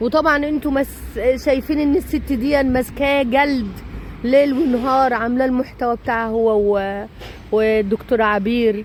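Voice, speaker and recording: A woman speaks at a fairly slow pace with a high pitch and an animated tone. Her pitch varies in an ordinary way, and noticeable background noise is present. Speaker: vlogger. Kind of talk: casual vlog monologue.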